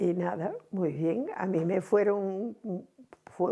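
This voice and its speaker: With vocal fry and a dark, mellow tone, a woman talks at a medium pitch and a very slow pace. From Cantabria, Spain. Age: 80s+. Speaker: seamstress. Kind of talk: oral history interview answer.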